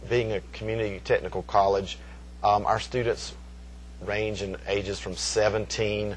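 Vocal fry colors this man's fairly low-pitched voice. He speaks at a moderate pace. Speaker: college hospitality professor. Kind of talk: interview answer. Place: hall.

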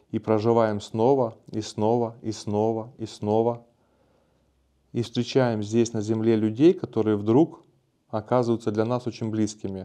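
A man speaks at a fairly slow pace in a dark, mellow, calm and relaxed tone. His intonation is fairly even, with long, frequent pauses. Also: quiet background. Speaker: video blogger on spirituality and self-development; video blogger on spirituality. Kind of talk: casual monologue answering viewer comments. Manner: calm, relaxed. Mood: calm, warm, relaxed. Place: studio. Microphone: lapel.

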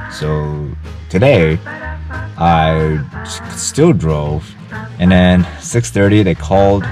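A man's very deep, low voice with ordinary pitch variation and long, frequent pauses, dry with no echo, over clear background music. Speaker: travel vlogger. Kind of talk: casual vlog chat. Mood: disappointed, wry. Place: car. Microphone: phone near.

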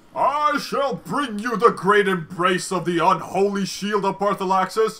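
A put-on character voice is raised and projected at a moderate pace. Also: man, high pitch for a man. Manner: grandiose.

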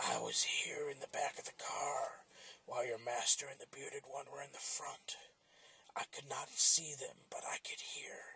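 A man puts on a character voice, speaking in a raspy tone at a fairly slow pace. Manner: earnest, old-fashioned, pleading.

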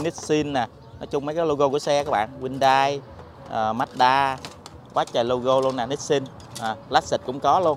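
Behind the speech, background noise is noticeable. The speaker is a man. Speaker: vlogger. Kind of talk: casual vlog narration. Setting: outdoors. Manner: animated.

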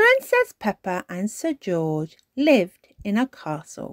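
A female-sounding put-on character voice at medium pitch and a fairly slow pace, on a very clean recording with a silent background. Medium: read story. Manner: warm, gentle.

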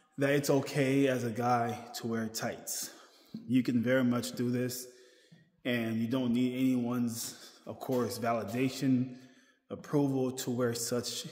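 Audible room echo follows a man talking at a fairly slow pace. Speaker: vlogger. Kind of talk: casual vlog chat. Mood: reassuring, relaxed. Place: gym. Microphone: phone near.

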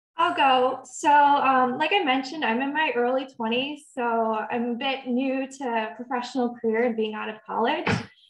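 Noticeable background noise sits behind a woman with a high pitch. She talks at a moderate pace with fairly even intonation. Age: 20s. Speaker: communications intern. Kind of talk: panel discussion. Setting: online video call.

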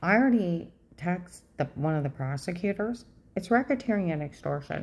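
A woman, somewhat breathy, with a dark, mellow tone. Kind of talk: casual vlog chat, recounting events. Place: home room. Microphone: phone near.

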